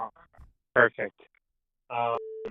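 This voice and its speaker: A man is speaking. He has a non-native accent. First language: not English. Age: 20s. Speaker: caller. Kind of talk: personal testimony. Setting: phone call. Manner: halting, many fillers and repetitions.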